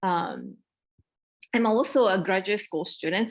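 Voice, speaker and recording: A woman speaks with a Japanese accent. The background is quiet. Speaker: elementary school teacher. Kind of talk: workshop presentation. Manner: halting, many fillers.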